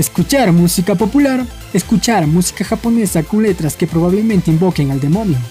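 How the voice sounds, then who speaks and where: A fairly quick pace over faint music in the background. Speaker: meme video narrator. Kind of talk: meme caption narration. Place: bathroom.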